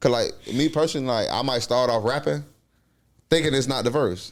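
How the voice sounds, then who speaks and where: At a fairly quick pace, a man speaks with ordinary pitch variation on a very clean recording with a silent background. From Miami, Florida (Miami Gardens). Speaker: rapper. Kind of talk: casual chat. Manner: halting, many fillers.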